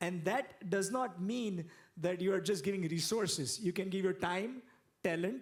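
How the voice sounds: A man's high-pitched voice at a fairly slow pace, with ordinary pitch variation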